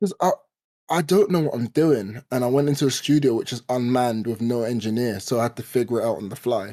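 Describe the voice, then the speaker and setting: Speaking at a very fast pace with a London accent, a man has a medium pitch, a dark, mellow tone and ordinary pitch variation. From East London, Hackney. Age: 20s. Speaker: podcast co-host, spoken word poet. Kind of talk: casual chat.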